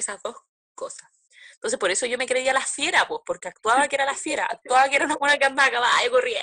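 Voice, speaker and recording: With a Chilean accent, a woman speaks fairly quickly in a bright, sharp tone and lively intonation, the sound dry and close with no echo. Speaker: podcast co-host. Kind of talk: casual chat.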